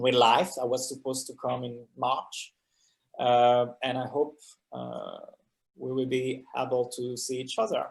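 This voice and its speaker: A man with a French accent speaks fairly slowly in a monotone, flat intonation at a medium pitch. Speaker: filmmaker and actor. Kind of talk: Q&A talkback. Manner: halting.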